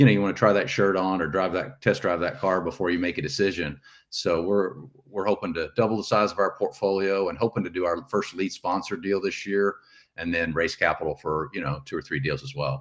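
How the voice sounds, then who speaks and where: A man's very deep, low voice with a Texan accent, fairly quick pace and ordinary pitch variation, on a very clean recording with a silent background. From Texas. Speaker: real estate investor, retired navy officer. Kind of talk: podcast interview.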